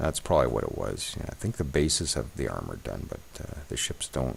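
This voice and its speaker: A man mumbles at a fairly quick pace. His pitch is very deep and low. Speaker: gaming video creator. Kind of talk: let's play commentary. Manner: mumbling; thinking aloud, casual.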